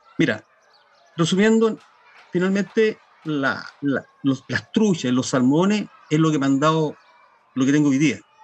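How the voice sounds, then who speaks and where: A man's fairly high voice with lively intonation and long, frequent pauses, over noticeable background noise. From Chile, Los Ángeles (Biobío). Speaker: fishing guide and author. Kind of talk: interview. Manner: halting.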